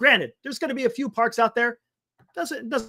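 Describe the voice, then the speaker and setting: A man speaks at an extremely high pitch in a raised, projected voice with an animated, bright, sharp tone. The sound is dry and close, with no echo. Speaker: sports talk show host. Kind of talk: live stream sports talk. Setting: live stream. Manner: loud. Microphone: audio distorting from yelling, mic moved away.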